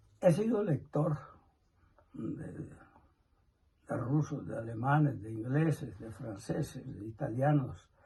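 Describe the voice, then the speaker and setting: A man speaks at a very slow pace and medium pitch, with lively intonation and vocal fry. Long, frequent pauses and big swings in loudness mark his delivery. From Colombia, Nemocón, Cundinamarca. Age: 80s+. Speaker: elderly interviewee. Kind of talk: interview answers.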